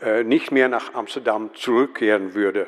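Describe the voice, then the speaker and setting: Delivery is at a moderate pace. A Dutch accent is heard. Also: man. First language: Dutch (speaking German). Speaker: museum professional, conference speaker. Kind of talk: conference talk read from script. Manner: reading aloud, hesitant with fillers.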